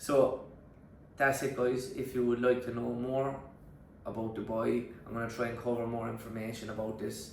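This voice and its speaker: A man with a strong Cork accent speaks at a medium pitch and moderate pace, his intonation monotone and flat, broken by long, frequent pauses amid noticeable background noise and audible room echo. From Ireland, Youghal, County Cork. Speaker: online fitness coach. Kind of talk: vlog.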